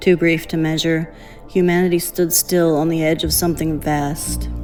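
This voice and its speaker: Music plays in the background as a woman speaks with a Tennessee accent. Her pitch is fairly low and her pace moderate. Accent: Southern US, Tennessee. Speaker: narrator. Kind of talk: audiobook-style story narration.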